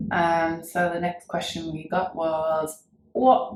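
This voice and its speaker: Very slowly, a woman with a Yorkshire accent speaks at a fairly low pitch. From Wakefield, Yorkshire, England. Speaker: cover band singer. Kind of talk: casual chat.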